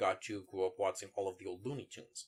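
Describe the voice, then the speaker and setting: A man with a plain, everyday voice and fairly low pitch. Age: 20s. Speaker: toy collector. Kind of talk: casual chat.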